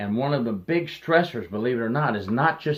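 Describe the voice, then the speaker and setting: Speaking in a plain, everyday voice, a man keeps a medium pitch, ordinary pitch variation and a moderate pace. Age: 60s. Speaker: retired corrections officer. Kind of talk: advice monologue.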